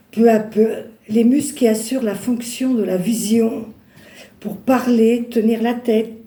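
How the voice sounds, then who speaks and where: Audible room echo surrounds a woman whose fairly high, monotone voice moves at a very slow pace with long, frequent pauses. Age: 60s. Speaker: churchgoer giving testimony. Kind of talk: testimony. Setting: church. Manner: halting.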